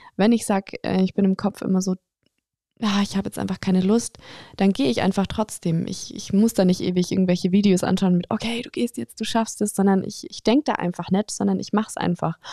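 Speaking at a fairly quick pace, a woman has a medium pitch, a dark, mellow tone and ordinary pitch variation. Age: 20s. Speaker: podcaster and fitness influencer. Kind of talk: casual Q&A monologue.

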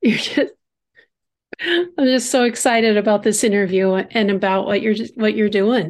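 A woman's plain, everyday voice at a moderate pace, with ordinary pitch variation and very even loudness. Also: fairly high pitch for a woman. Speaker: podcast host. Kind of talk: casual interview with prayer. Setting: remote interview.

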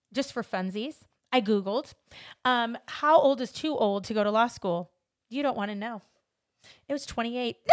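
A woman with a Californian accent speaks at a moderate pace and fairly high pitch, with ordinary pitch variation and long, frequent pauses. The recording is very clean, with a silent background. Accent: Californian American English. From Los Angeles, US. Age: 40s. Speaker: podcast host. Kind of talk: casual interview chat.

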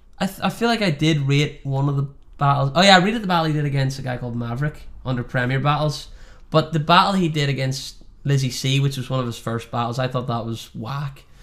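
Speaking at a very fast pace, a man has a Northern Irish accent. His fairly high-pitched voice shows ordinary pitch variation. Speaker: podcast host. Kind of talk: casual chat.

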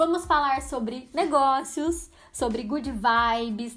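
A woman speaks at a fairly slow pace in an animated tone with ordinary pitch variation, and audible room echo surrounds her. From São Paulo state interior, Brazil. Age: 30s. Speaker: podcast host. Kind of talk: solo podcast monologue.

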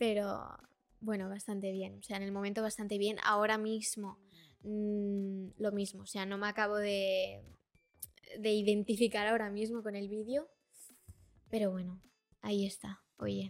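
This woman speaks at a fairly slow pace with long, frequent pauses, in a medium pitch and a monotone, flat intonation. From Brazil, raised in Spain from age four. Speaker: social media influencer. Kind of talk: casual interview.

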